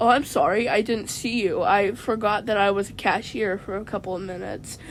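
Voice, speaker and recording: Putting on a character voice, a woman of medium pitch speaks raspily at a fairly quick pace over clear background noise. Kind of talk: comic absurdist skit. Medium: solo performance.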